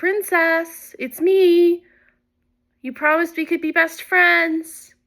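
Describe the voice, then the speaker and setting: A woman uses a put-on character voice, squeaky and extremely high-pitched, raised and projected. She talks at a very slow pace. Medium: read story.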